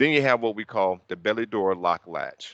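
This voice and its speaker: A man with a Southern US accent has a bright, sharp tone and ordinary pitch variation, recorded dry and close with no echo against a quiet background. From US South. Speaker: technical trainer. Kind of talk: training session. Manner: fast.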